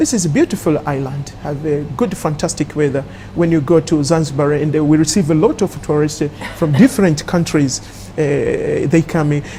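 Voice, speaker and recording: Against noticeable background noise, a woman speaks with a very deep, low voice. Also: ordinary pitch variation, moderate pace. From Tanzania. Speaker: Tanzanian diaspora member in Turkey. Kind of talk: TV panel discussion. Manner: halting, many fillers.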